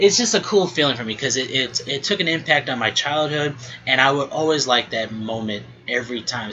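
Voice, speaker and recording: Speech at a moderate pace amid noticeable background noise. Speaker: podcast host. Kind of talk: casual monologue. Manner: mumbling at times; halting, many fillers and restarts.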